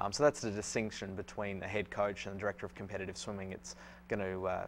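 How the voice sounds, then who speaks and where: Speaking at a very fast pace in an Australian accent, a man keeps a fairly low pitch with ordinary pitch variation. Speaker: swim coach. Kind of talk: interview. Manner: halting, many fillers.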